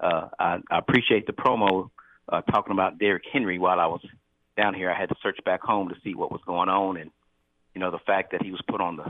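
A man speaks at a fairly quick pace with fairly even intonation. His voice is low-pitched and nasal.

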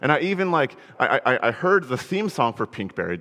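Talking very fast with very wide pitch swings, a man speaks with an American accent. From Connecticut, US. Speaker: minister. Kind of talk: sermon. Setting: church. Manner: halting, frequent repetitions.

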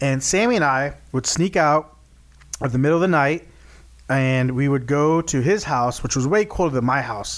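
A man with a fairly high pitch speaks in an animated tone with lively intonation. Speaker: podcast host. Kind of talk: casual chat. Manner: animated, jokey.

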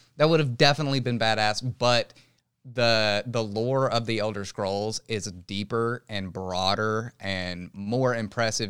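A man in an ordinary speaking voice, fairly low-pitched with ordinary pitch variation, at a fairly slow pace, in a very clean recording with a silent background. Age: 20s. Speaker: gaming podcast co-host. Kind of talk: casual chat.

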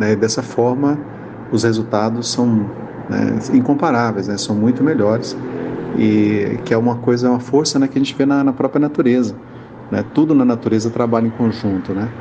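A man's medium-pitched voice at a moderate pace, with ordinary pitch variation and noticeable background noise. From Goiânia, Brazil. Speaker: spiritist group volunteer. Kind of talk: recorded testimonial. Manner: hesitant, filler 'né'.

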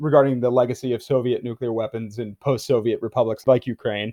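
Here a man speaks in a plain, everyday voice. His pitch is medium and his pace fairly quick. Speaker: podcast host. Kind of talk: interview.

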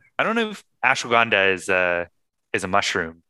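Over a quiet background, a man's voice has a bright, sharp tone and a dry, close sound with no echo. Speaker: podcast host. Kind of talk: casual chat.

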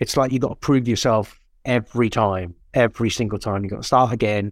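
A man speaks in a plain, everyday voice at a fairly low pitch, his intonation fairly even, on a very clean recording with a silent background. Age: 50s. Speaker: actor. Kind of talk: casual chat.

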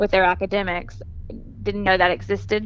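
Southern US accent from a woman. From Mississippi, Jackson area. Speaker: academic counselor. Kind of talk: interview.

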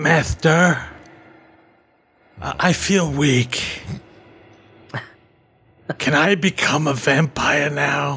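Using a put-on character voice, a man speaks raspily at a fairly high pitch, very slowly, with long, frequent pauses.

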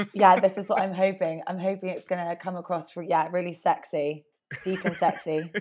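In a British accent, a woman speaks at a fairly quick pace. Her medium-pitched voice stays monotone and flat. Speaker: trainee therapist. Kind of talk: interview.

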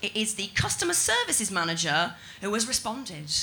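A woman speaks at a moderate pace with lively intonation. Background noise is noticeable. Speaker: stand-up comedian. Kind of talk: stand-up. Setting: stage with audience.

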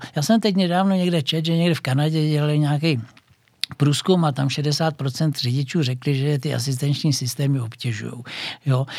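A man's somewhat breathy voice sits fairly high in pitch with ordinary pitch variation. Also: moderate pace. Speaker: former TV motoring journalist and racing driver. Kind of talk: casual interview. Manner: halting.

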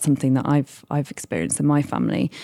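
Very deep and low, a woman's dark, mellow voice races at a very fast pace in a British accent, recorded very cleanly against a silent background. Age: 30s. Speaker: charity fundraising director. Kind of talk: radio interview. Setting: live industry event.

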